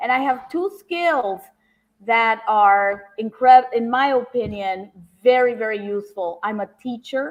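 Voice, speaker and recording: At a fairly slow pace, a woman talks in a normal speaking voice, her pitch varying in an ordinary way. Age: 60s. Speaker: judicial candidate, professor and lawyer. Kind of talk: interview answers, campaign pitch.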